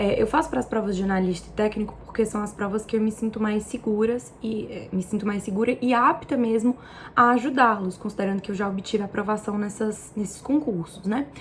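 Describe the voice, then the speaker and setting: A woman talks at a fairly quick pace in a fairly high voice, with hardly any pauses and ordinary pitch variation. Noticeable background noise sits behind her. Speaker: exam-prep tutor and vlogger. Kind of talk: casual vlog tutorial.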